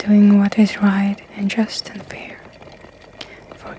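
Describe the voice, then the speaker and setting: A soft-spoken voice moves at a very slow pace through noticeable background noise. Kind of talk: ASMR scripture reading.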